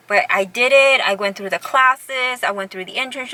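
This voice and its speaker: A woman talks at a fairly quick pace with lively intonation. There is noticeable background noise. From Southern California, Orange County. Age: 40s. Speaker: vlogger. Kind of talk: casual vlog monologue. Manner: conversational, many fillers and restarts.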